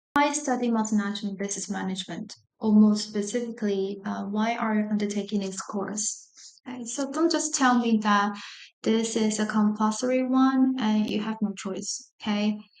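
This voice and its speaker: In a room with audible echo, a woman with a fairly high voice speaks at a moderate pace with fairly even intonation. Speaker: university lecturer. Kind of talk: lecture.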